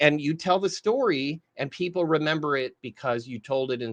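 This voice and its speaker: A man talks in a normal speaking voice at a moderate pace with ordinary pitch variation, the sound dry and close with no echo against a quiet background. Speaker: marketing trainer. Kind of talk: live training. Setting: live stream.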